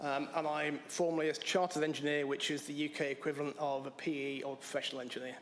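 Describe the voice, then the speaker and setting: With a fairly high pitch and fairly even intonation, a man talks very fast, and the room echo is audible. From England. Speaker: applicant to town board. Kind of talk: public comment at council meeting.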